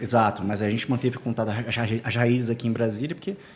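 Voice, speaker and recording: His voice is at a medium pitch. It belongs to a man. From Rio de Janeiro, Brazil. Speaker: entrepreneur and financial planner. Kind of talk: podcast interview.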